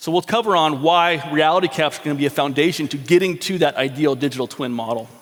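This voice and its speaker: Barely pausing, a man talks at a very fast pace. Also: fairly high pitch for a man, ordinary pitch variation. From Alaska, Anchorage. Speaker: engineering consultant. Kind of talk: conference presentation.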